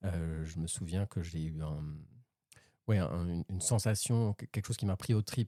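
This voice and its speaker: With a very clean recording and a silent background, a man with a very deep, low pitch and a dark, mellow tone speaks at a moderate pace with ordinary pitch variation and long, frequent pauses, the sound dry and close with no echo. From France. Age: 30s. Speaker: amateur tango dancer. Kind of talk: interview. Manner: halting, many hesitations.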